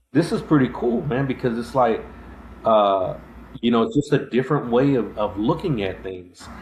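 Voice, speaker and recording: A man's medium-pitched voice with a Texan accent and ordinary pitch variation. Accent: Texas accent with a drawl. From Texas, Abilene. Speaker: podcast host, army veteran. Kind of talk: casual interview chat. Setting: live-streamed show. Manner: halting, many fillers.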